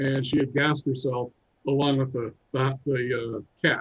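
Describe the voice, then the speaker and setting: A man with fairly even intonation. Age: 60s. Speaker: musician and filmmaker. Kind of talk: interview, personal story. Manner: calm.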